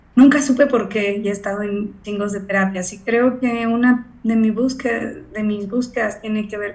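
A woman speaks at a fairly slow pace with a fairly high pitch. Her intonation stays fairly even, and the room gives an audible echo. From Mexico. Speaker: voice and acting coach. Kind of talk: casual interview.

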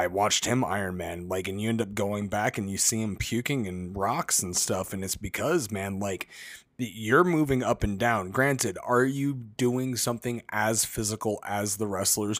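In an ordinary speaking voice, a man with an American accent talks at a moderate pace and fairly low pitch, with ordinary pitch variation, on a very clean recording with a silent background. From Las Vegas, US. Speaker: professional wrestler and podcast co-host. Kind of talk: casual chat.

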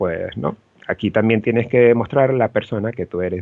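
A man uses a normal speaking voice, medium in pitch with ordinary pitch variation, and talks at a moderate speed. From Venezuela, Los Teques. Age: 30s. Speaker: event production director. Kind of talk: interview.

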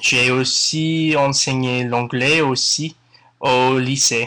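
In a very clean recording with a silent background, a man with an English accent speaks at a very slow pace, his medium-pitched voice bright and sharp in tone and his intonation fairly even. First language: English (speaking French). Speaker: podcast listener, French learner. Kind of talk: recorded listener testimony.

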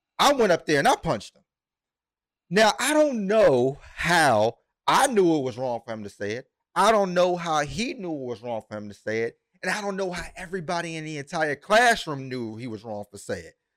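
A man's high-pitched voice at a moderate pace, with very wide pitch swings and big swings in loudness, dry and close with no echo, on a very clean recording with a silent background. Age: 30s. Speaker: podcast host. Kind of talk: casual chat.

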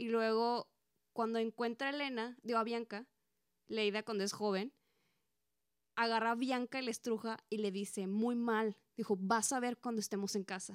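A woman with a fairly high pitch talks at a moderate pace in a monotone, flat intonation, the sound dry and close with no echo. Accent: Mexican. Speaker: podcast co-host. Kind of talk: casual chat.

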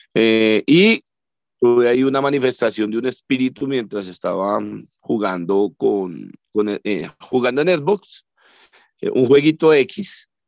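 This man has a medium pitch and lively intonation, speaking very slowly. Long, frequent pauses break his speech, and the sound is dry and close with no echo. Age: 40s. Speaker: parapsychologist. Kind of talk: interview. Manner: halting.

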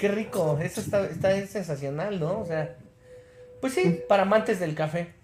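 A man talks at a moderate pace in a high pitch with ordinary pitch variation. Noticeable background noise sits behind him. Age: 40s. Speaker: podcast co-host. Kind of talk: casual chat.

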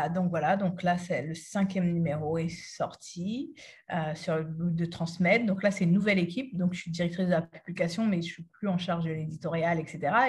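Somewhat breathy and fairly low in pitch, a woman speaks at a moderate pace with fairly even intonation. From France, Cergy (Île-de-France), Haitian-born. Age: 30s. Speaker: activist and author. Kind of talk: interview.

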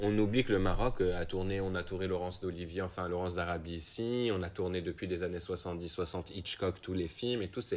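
Speaking at a moderate pace with hardly any pauses, the voice has fairly even intonation and a slight non-native accent. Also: man, very deep, low pitch for a man. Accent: slight foreign accent when speaking French. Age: young. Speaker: actor. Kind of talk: casual interview.

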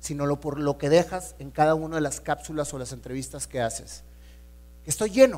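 A man speaks at a moderate pace. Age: 40s. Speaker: entrepreneur and motivational speaker. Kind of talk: inspirational talk. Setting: stage with audience.

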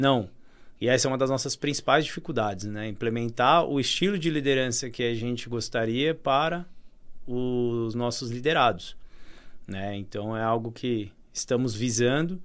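At a moderate pace, a man talks in an ordinary speaking voice at medium pitch with ordinary pitch variation. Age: 30s. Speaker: family business owner. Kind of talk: interview.

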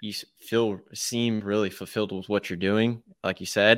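A man with an American accent speaks at a moderate pace in a plain, everyday voice, his fairly low pitch carried on fairly even intonation. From Texas. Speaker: podcast host. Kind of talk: casual interview; podcast intro. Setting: video call.

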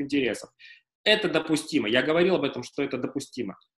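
This man talks at a fairly quick pace. His delivery moves along briskly. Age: 30s. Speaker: lawyer, managing partner of a law firm. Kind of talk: casual interview. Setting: live stream.

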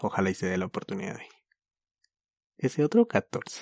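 A fairly quick, fairly low-pitched male voice in a dry, close recording with no echo. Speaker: podcast host. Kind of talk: casual chat.

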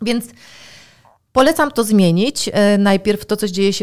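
A plain, everyday voice moves at a fairly slow pace with lively intonation. The recording is very clean, and the background is silent. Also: woman. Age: 40s. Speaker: biotechnologist and health consultant. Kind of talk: interview.

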